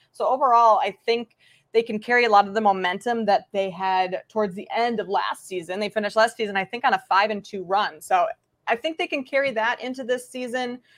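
Speaking at a fairly quick pace, a woman with an American accent has an unremarkable speaking voice, a fairly high pitch and ordinary pitch variation. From Minnesota. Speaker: sports betting analyst. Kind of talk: casual chat.

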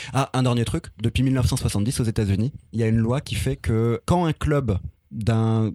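A man's medium-pitched voice has a dark, mellow tone in a very clean recording with a silent background. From France, city estate. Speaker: podcast columnist. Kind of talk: scripted narration; casual chat.

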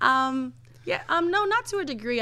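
A woman with an American accent speaks in a bright, sharp tone on a very clean recording with a silent background. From New York, the Bronx. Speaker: photographer. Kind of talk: casual interview.

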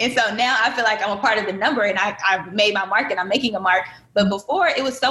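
Talking at a very fast pace with an American accent, the speaker uses ordinary pitch variation over noticeable background noise. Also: woman. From Michigan, Benton Harbor. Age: 20s. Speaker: guest. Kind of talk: casual chat. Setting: video call.

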